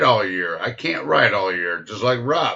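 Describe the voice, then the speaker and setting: A man speaks at a fairly slow pace. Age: 60s. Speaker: motorcycle rider, live stream host. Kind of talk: casual chat. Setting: live stream. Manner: animated.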